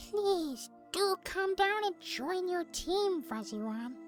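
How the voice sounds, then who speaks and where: Over clear music in the background, a put-on character voice at an extremely high pitch drags along at a very slow pace. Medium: actual play.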